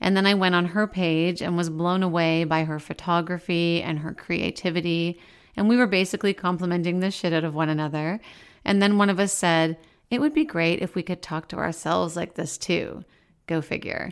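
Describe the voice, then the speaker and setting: On a very clean recording with a silent background, a woman with an unremarkable speaking voice talks at a fairly quick pace in a fairly low pitch and fairly even intonation. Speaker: podcast host. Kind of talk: scripted narration.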